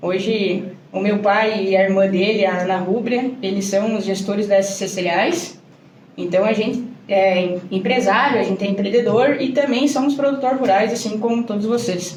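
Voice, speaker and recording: A woman speaks at a moderate pace in a Rio Grande do Sul accent, her pitch medium with ordinary variation. The room echoes audibly, and background noise is noticeable. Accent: southern Brazilian gaúcho Portuguese. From Brazil, Rio Grande do Sul. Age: 20s. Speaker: agronomist and farmer. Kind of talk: podcast interview.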